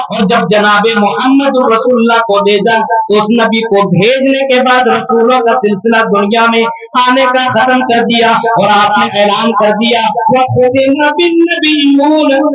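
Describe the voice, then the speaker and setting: Loudness stays very even, with ordinary pitch variation. Background noise is noticeable. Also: man, extremely high pitch for a man. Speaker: Islamic scholar / preacher. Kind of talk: Islamic sermon at a religious conference. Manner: oratorical, preaching.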